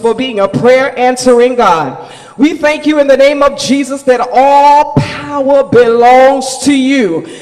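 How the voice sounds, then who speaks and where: A man's extremely high-pitched voice at a fairly slow pace, fairly even in intonation, over music in the background. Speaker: church leader giving opening prayer. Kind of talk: fervent charismatic prayer. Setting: church. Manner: fervent, exclamatory. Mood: reverent, fervent. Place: church. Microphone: podium.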